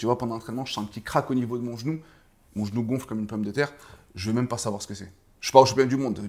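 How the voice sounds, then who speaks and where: Here a man talks at a very fast pace in a medium pitch. Long, frequent pauses break up his speech. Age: 30s. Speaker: kickboxing coach and former fighter. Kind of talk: casual interview. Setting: boxing gym. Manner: animated.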